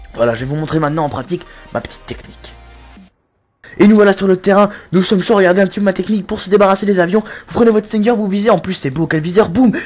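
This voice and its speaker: A woman talks at a very fast pace with lively intonation. Her speech is broken by long, frequent pauses. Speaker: gaming commentator. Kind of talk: comedic gameplay tutorial. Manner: animated.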